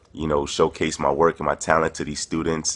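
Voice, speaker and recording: A man speaks with a New York accent in a very deep, low pitch. His intonation is monotone and flat. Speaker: touring performance poet. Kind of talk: casual spoken video message. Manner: hesitant, many fillers.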